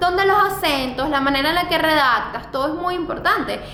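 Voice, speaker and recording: A woman projects her voice at an extremely high pitch with lively intonation. The room echoes audibly, and background noise is noticeable. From Venezuela. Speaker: fashion blogger and YouTuber. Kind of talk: vlog advice talk.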